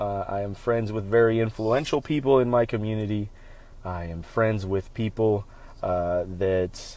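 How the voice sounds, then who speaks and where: With an American accent and a normal speaking voice, a man talks at a moderate pace in a fairly low pitch, showing ordinary pitch variation and big swings in loudness. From Central Florida. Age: 30s. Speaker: podcast host. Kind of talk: solo podcast monologue.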